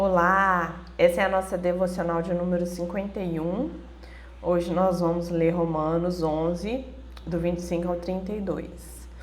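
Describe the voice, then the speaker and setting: A strained voice with monotone, flat intonation sounds out with audible room echo. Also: woman, fairly low pitch for a woman, fairly slow pace. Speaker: Bible devotional teacher. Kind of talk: devotional Bible teaching. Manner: moderate, restrained pace.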